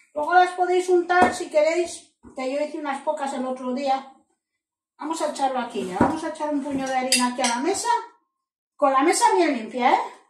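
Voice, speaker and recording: Speaking at a fairly quick pace with lively intonation, a woman's high voice carries audible room echo over light background noise. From Spain. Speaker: cooking channel host. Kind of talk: cooking tutorial. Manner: animated. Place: kitchen. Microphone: camera far.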